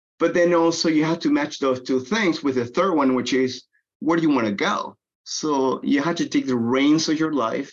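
A Spanish accent at a moderate pace, with ordinary pitch variation and very even loudness. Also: man, fairly high pitch for a man. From Venezuela. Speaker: technology business development executive. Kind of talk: interview.

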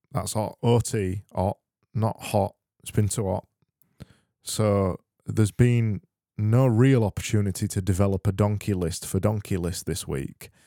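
A man's fairly low, dark and mellow voice at a fairly slow pace, with fairly even intonation, dry, close sound with no echo and a very clean recording over a silent background. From Yorkshire, England. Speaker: comedy podcast host. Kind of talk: casual comedic monologue.

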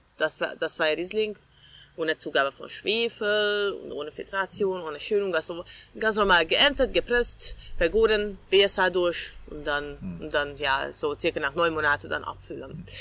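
A woman's bright, sharp voice, fairly low in pitch, with big swings in loudness and a Hungarian accent. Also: ordinary pitch variation, moderate pace. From Hungary, Budapest. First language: Hungarian (speaking German). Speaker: winemaker. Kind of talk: interview.

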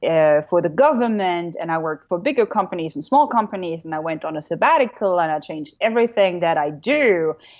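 A woman speaks with a German accent. Her intonation is lively. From Germany. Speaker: keynote speaker. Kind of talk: casual chat. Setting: video call. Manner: animated.

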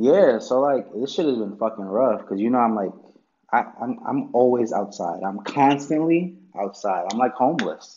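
A plain, everyday voice from a man, medium in pitch, at a moderate pace with lively intonation. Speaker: podcast co-host. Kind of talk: casual chat. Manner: casual, slangy.

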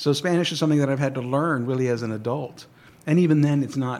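Speaking very fast, a man uses an American accent. His pitch sits fairly high with ordinary variation. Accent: Texan English, Mexican American. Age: 60s. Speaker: guest sharing family history. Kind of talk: radio interview. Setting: radio studio.

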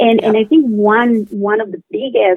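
This voice carries a Spanish accent. Its pitch variation is ordinary. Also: woman. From Colombia. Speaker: biotech company co-founder. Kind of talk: interview. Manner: halting.

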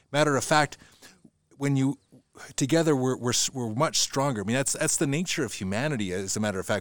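Speaking at a very fast pace, a man with a Canadian accent holds a medium pitch. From central Alberta, Canada. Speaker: podcast host. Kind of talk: casual interview. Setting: in person, at host's location with mountain view. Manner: halting, many repeated words.

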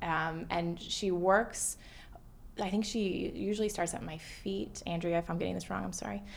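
In an American accent, a woman with a fairly low pitch and vocal fry talks at a moderate pace with lively intonation. Audible room echo surrounds her voice. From US South, Atlanta. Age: 20s. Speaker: therapist and patient sharing her story. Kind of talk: casual interview.

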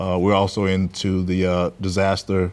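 In a very clean recording with a silent background, a man with a Southern US accent speaks at a fairly slow pace, his very deep, low pitch held in a monotone, flat intonation. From US South, Mississippi Delta (Clarksdale). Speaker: general contractor and business owner. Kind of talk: interview. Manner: halting, many fillers.

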